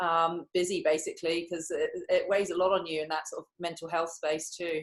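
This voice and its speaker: A woman with an English accent talks at a fairly quick pace, her fairly low voice flat and monotone. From England. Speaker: professional netball player. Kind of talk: interview.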